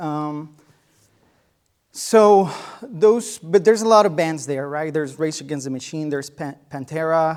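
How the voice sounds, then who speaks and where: A man with a Spanish accent speaks at a fairly slow pace and fairly high pitch, with ordinary pitch variation. His loudness swings widely, and he takes long, frequent pauses. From Mexico, small town. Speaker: guest lecturer, musician. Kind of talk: lecture. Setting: lecture hall with students. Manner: halting, many fillers.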